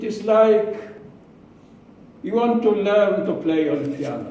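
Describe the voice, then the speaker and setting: A man talks at a fairly slow pace in a high voice. The room echo is audible and the background noise noticeable. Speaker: public speaking club member. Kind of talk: prepared speech. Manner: halting.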